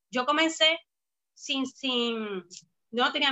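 The speaker is a woman. Her pitch is high. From Puerto Rico, Bayamón. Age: young. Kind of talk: casual interview. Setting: live video stream.

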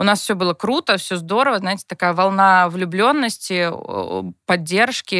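A woman speaks at a fairly quick pace with a bright, sharp tone. The sound is dry and close with no echo, in a very clean recording with a silent background. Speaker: TV producer and blogger, mother of four. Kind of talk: casual chat. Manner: animated.

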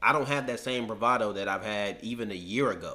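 A man with a plain, everyday voice and an American accent, at a moderate pace with ordinary pitch variation. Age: 20s. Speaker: sports podcast host. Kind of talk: casual sports debate. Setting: studio.

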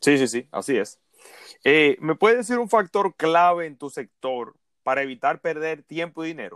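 A man's ordinary speaking voice, fairly high in pitch, with lively intonation, big swings in loudness and a moderate pace, in a dry, close sound with no echo. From Dominican Republic. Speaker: podcast host, digital marketing consultant. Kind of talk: interview.

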